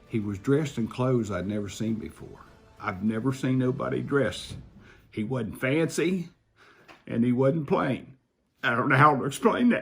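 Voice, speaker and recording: Pausing long and often, a man with vocal fry talks at a moderate pace and medium pitch with ordinary pitch variation. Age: 70s. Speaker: near-death experience witness. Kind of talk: testimony. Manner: halting.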